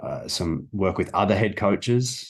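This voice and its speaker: A man speaks with an Australian accent at a fairly slow pace. The background is quiet. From Australia, Melbourne. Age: 30s. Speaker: sports coach. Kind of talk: interview.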